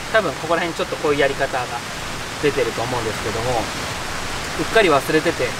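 A man talks at a fairly quick pace. The sound is dry with no echo, over noticeable background noise. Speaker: camping vlogger. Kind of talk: casual vlog chat. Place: tent.

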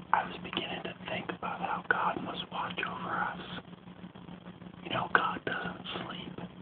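A man whispers at a fairly slow pace, with long, frequent pauses and big swings in loudness. Noticeable background noise runs beneath him. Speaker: pastor. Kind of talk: casual talk to camera. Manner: soft-spoken.

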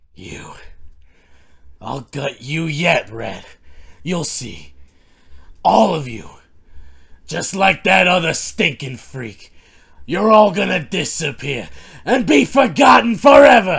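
A man's raspy, put-on character voice, fairly high in pitch and at a fairly slow pace. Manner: snarling, threatening.

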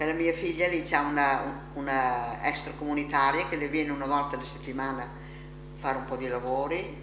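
Over noticeable background noise, a woman with a very deep, low pitch speaks at a fairly quick pace. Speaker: elderly rehabilitation patient. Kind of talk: interview. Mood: warm, lively reminiscing. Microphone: camera far.

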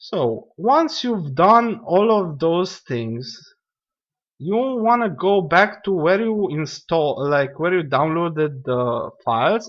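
Speaking with a non-native accent, a man talks at a very slow pace. His high voice swings very widely in pitch. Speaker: gaming YouTuber. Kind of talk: tutorial. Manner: casual, lots of fillers; rambling.

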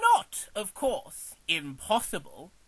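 A man speaks. He uses a put-on character voice. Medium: audio drama.

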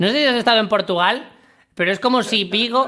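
Against a quiet background, a man in a Madrid accent talks at a very fast pace with a bright, sharp tone and lively intonation. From Madrid, Spain; Spain. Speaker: comedy podcast co-host. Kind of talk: casual comedic chat. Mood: joking, animated. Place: home room. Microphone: studio mic.

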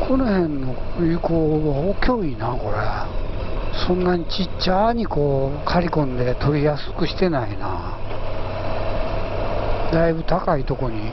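A fairly slow pace with long, frequent pauses, a dry sound with no echo and loud background noise. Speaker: motorcycle rider vlogger. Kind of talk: casual vlog chat. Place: motorbike.

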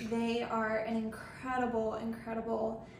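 Amid audible room echo and light background noise, a woman speaks at a fairly slow pace. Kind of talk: tutorial. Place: kitchen. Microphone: phone near.

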